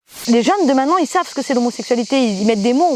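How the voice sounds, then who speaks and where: A woman with a strong southern French accent and lively intonation. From southern France, Provence. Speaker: singer and stage performer. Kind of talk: interview testimony. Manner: hesitant, many fillers and repetitions.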